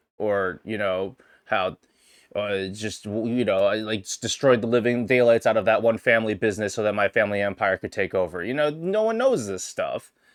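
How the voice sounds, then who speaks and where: Recorded very cleanly against a silent background, a man speaks at a fairly quick pace with a dry, close sound and no echo. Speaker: streamer podcast host. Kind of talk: casual solo livestream chat. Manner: halting, many restarts.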